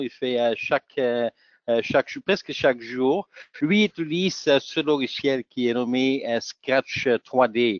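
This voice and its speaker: Speaking at a very slow pace, a man with a Dutch accent holds a medium pitch. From Flanders, Belgium (Antwerp). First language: Dutch (speaking French). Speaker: software technical specialist and trainer. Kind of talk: webinar presentation. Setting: online webinar. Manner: halting, many hesitations.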